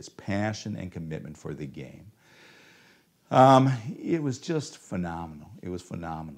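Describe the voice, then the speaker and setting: A man with a Midwestern American accent uses a very deep, low pitch, very wide pitch swings, big swings in loudness, and long, frequent pauses. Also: moderate pace. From Ohio, US. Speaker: preacher. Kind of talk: sermon.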